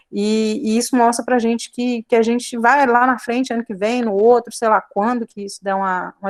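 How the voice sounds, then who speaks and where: A woman speaks at a fairly quick pace with fairly even intonation, in a dry, close sound with no echo. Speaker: biology teacher. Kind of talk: online class lecture. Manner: fast.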